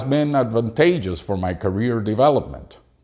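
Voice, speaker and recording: A man speaks with a Spanish accent at medium pitch and a moderate pace. His tone is dark and mellow, with very wide pitch swings. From Cuba. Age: 50s. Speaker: English teacher and doctoral student. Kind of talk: reading aloud a personal academic essay. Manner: formal.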